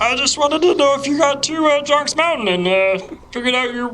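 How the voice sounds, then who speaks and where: In a put-on character voice, the speaker talks at a high pitch and a fairly quick pace over clear background noise. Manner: silly, exaggerated.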